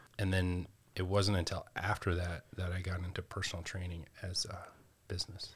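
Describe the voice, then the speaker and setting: A man with an American accent and a very deep, low pitch speaks in a somewhat breathy voice at a moderate pace with monotone, flat intonation on a very clean recording with a silent background. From North Carolina (Asheville). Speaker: gym owner and personal trainer, former rugby player. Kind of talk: interview.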